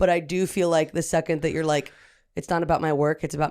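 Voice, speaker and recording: The recording is very clean with a silent background, and the delivery is monotone with flat intonation. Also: woman. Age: 20s. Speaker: comedian. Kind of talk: casual chat.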